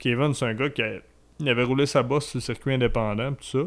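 With a normal speaking voice, this man keeps his medium pitch and fairly even intonation. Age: 30s. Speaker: wrestling commentator. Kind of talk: casual chat.

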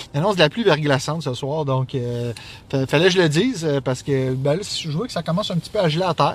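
A man's plain, everyday voice, fairly high in pitch, with lively intonation at a fairly quick pace. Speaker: podcast co-host. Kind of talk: casual chat. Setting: in a car.

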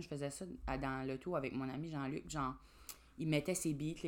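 A woman talks at a fairly quick pace with ordinary pitch variation. Her pitch is very deep and low. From New Brunswick, Grand Falls (Acadian French). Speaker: comedian. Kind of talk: casual chat.

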